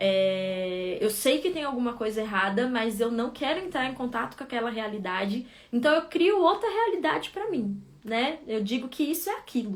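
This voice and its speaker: The voice moves at a moderate pace with very wide pitch swings. Noticeable background noise is audible. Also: woman, high pitch for a woman. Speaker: psychologist. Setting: live stream.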